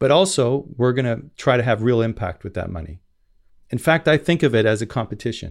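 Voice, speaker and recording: Here is a man with a normal speaking voice at a medium pitch, moving at a fairly quick pace with lively intonation. The recording is very clean and the background silent. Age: 50s. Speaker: impact investor. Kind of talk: interview.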